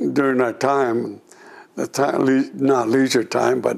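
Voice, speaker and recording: A man with an American accent and medium pitch speaks against noticeable background noise. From California, US (Gilroy). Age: 80s+. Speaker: war veteran. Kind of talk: oral history interview. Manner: halting.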